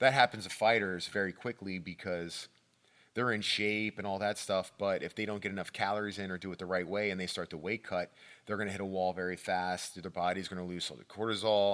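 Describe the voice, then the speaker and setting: A man in a normal speaking voice talks fairly quickly at a fairly low pitch, his intonation fairly even, on a very clean recording with a silent background. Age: 40s. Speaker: martial arts coach and retired pro fighter. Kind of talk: casual chat.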